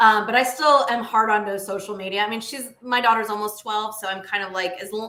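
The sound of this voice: A woman speaks at a fairly quick pace with medium pitch, a bright, sharp tone and fairly even intonation. Room echo is audible.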